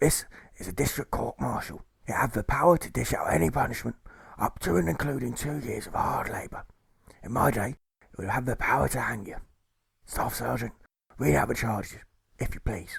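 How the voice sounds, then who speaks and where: A man whispers in a raspy, put-on character voice at a fairly quick pace, with long, frequent pauses. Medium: read story. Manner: pompous, blustering, slurring, harking back to his day.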